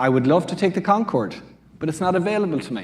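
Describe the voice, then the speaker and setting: A man speaks in an Irish accent. His intonation is lively. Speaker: quantum computing researcher. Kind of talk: panel discussion.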